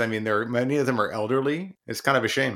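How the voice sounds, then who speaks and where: A man's ordinary speaking voice at medium pitch, fairly quick pace and ordinary pitch variation. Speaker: podcast co-host and author. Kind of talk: casual chat.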